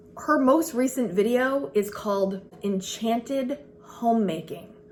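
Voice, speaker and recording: Animated and lively in intonation, a woman with a medium-pitched voice speaks at a moderate pace against noticeable background noise. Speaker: frugal living and homemaking vlogger. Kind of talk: casual vlog talk to camera. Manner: loud and animated.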